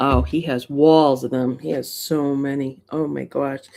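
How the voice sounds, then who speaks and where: A woman with a dark, mellow tone speaks in a Massachusetts accent. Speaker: coin collecting livestreamer. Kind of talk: casual livestream chat. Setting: home livestream. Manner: animated.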